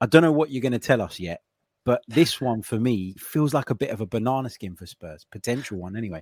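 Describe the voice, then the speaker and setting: A man with a British accent at a very fast pace, medium-pitched, with lively intonation and a dry, close sound with no echo on a very clean recording with a silent background. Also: big swings in loudness. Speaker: podcast host. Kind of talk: casual sports betting discussion.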